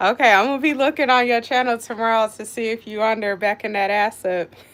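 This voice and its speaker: Talking at a very fast pace with an American accent, the speaker shows ordinary pitch variation. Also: woman, fairly high pitch for a woman. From Colorado. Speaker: cooking livestreamer. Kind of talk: casual live-stream chat. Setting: home kitchen live stream. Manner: animated.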